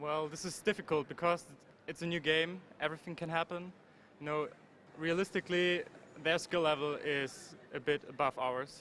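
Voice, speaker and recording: A man with a fairly high voice and a bright, sharp tone talks in fairly even intonation, leaving long, frequent pauses. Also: moderate pace. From Germany. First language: German. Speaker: pro gamer. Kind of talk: event interview. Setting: gaming convention floor.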